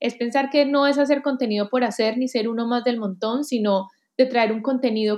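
The speaker has a Colombian accent and fairly even intonation. The background is quiet. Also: woman. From Colombia, Armenia (coffee region). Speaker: digital talent executive and author. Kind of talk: interview. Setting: remote call.

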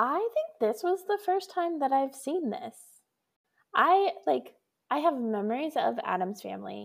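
A woman speaks with an American accent at a high pitch. Her pitch swings very widely. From Colorado. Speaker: podcast co-host and pastor. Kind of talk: casual chat.

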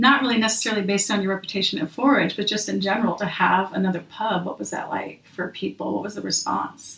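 A woman with an American accent speaks at a fairly quick pace in a plain, everyday voice with a medium pitch. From Minnesota / St. Louis, US Midwest. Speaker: podcast host. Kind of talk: casual interview chat.

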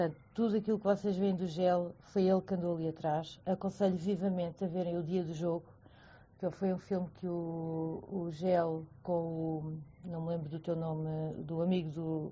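A woman's fairly low voice is somewhat breathy, with monotone, flat intonation. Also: moderate pace. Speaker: friend of guest. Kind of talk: casual chat. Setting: online audio room.

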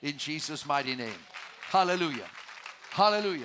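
A man's raised, projected voice with a bright, sharp tone, very wide pitch swings and a fairly quick pace on a very clean recording with a silent background. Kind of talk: sermon. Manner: animated, call-and-response preaching, exhorting the congregation to shout praise.

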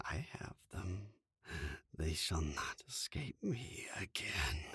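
In a put-on character voice, a man speaks raspy and very deep and low at a very slow pace. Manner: mocking, malicious.

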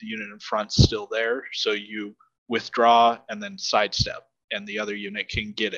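Speaking with a Midwestern US accent, a man uses a medium pitch, a bright, sharp tone and monotone, flat intonation at a moderate pace, the sound dry and close with no echo. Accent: General American, Midwestern. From US Midwest, Nebraska. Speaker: tabletop wargame champion. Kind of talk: casual chat.

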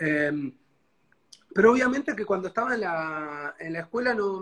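He has a high pitch, a bright, sharp tone and ordinary pitch variation, and the man speaks at a fairly slow pace. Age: 30s. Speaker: guest sharing life story. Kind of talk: life story interview. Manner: halting.

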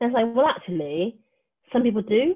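Here a woman talks with a West Country accent. Her pace is fairly quick. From Wiltshire, England. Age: 30s. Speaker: LGBT community worker and co-founder of a social space. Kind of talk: casual interview chat.

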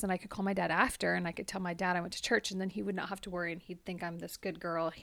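A woman with a Californian accent, medium in pitch, with fairly even intonation. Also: very clean recording, silent background. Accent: Californian American. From US, Central Valley California. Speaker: podcast co-host. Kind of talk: casual chat. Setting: home basement.

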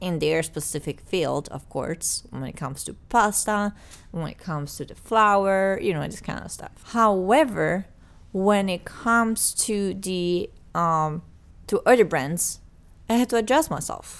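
A woman with a medium-pitched voice speaks at a fairly slow pace, her intonation lively and her loudness swinging widely, in a very clean recording with a silent background. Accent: Italian. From Italy. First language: Italian. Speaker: podcast co-host. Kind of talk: casual chat. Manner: animated.

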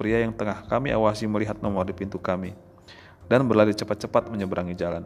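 The clip features an unforced reading voice with fairly even intonation.

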